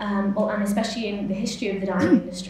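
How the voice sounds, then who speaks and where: Light background noise and audible room echo accompany a woman speaking with a West Yorkshire accent. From West Yorkshire, Huddersfield area; West Yorkshire, England. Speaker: MA research student. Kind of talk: conference talk. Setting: symposium stage with audience. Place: hall. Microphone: podium.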